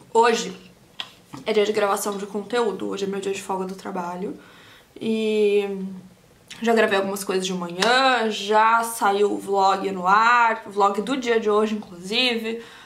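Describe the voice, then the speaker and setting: Against noticeable background noise, a woman speaks fairly slowly at medium pitch with monotone, flat intonation. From Brazil. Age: 30s. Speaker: beauty vlogger, aesthetician. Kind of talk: casual talk to camera while doing makeup.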